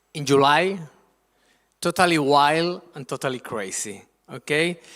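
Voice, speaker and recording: A man with a Spanish accent speaks in an animated, bright, sharp tone in a very clean recording with a silent background. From Spain, Madrid. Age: 50s. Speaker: guest lecturer on Spanish culture. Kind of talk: presentation to school students.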